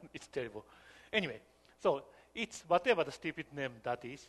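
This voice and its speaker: A man is speaking. He has a non-native accent. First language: not English. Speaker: software developer and workshop lecturer. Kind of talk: lecture.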